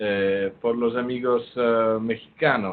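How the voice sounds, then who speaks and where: Very slowly, a man speaks with an Italian accent. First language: Italian (speaking Spanish). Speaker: surgery professor and endoscopist. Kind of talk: lecture. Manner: halting, many fillers.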